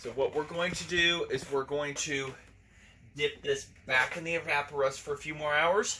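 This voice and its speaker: A man with a bright, sharp tone talks at a moderate pace. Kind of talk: tutorial. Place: workshop.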